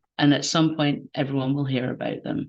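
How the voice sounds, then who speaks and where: Speaking fairly quickly, a woman uses a very deep, low voice with a Scottish accent. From Scotland. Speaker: game jam organizer. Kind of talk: online event interview.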